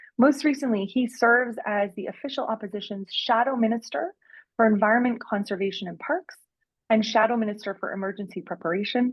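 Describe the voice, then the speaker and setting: A woman with a Canadian accent speaks very fast in a fairly high, somewhat breathy voice, with ordinary pitch variation. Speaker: event moderator. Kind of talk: event introduction on a video call.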